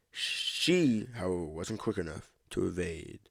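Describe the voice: Plain reading aloud fills the recording.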